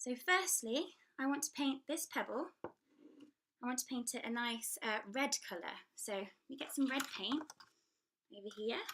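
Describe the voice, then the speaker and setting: Lively intonation at a fairly slow pace, in an English accent. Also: woman, high pitch for a woman. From England. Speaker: children's book author and illustrator. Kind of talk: tutorial. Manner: hesitant, with many fillers.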